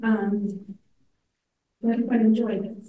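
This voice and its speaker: Through audible room echo, a woman with a dark, mellow tone speaks at a fairly high pitch in a flat, monotone way. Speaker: association president. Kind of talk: meeting introductions.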